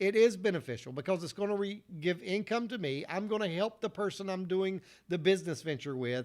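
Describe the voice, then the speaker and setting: Over a very clean recording with a silent background, a man with a Southern US accent speaks at a fairly quick pace in a high pitch with lively intonation. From US South, North Carolina. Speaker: motivational speaker. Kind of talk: motivational talk. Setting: solo video recording after failed livestream.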